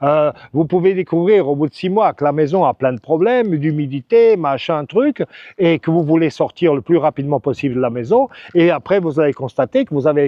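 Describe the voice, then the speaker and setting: A man with a fairly high pitch talks at a moderate pace, his intonation lively. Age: 60s. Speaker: real estate agent and expat advice vlogger. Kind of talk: advice vlog monologue. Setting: outdoors by a lagoon. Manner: casual, with hesitations and false starts.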